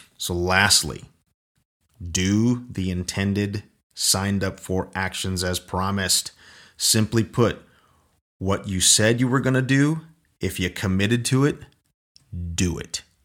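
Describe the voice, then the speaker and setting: The pace is fairly slow, broken by long, frequent pauses. Pitch variation is ordinary. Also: man, fairly low pitch for a man. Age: 40s. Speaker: military veteran podcast host. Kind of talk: solo motivational podcast talk. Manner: halting, frequent repetitions and fillers.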